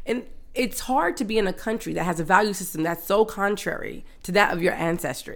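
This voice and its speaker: A woman speaks at a medium pitch. Her pace is fairly quick and her intonation lively. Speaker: podcast co-host. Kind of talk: casual chat. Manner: loud.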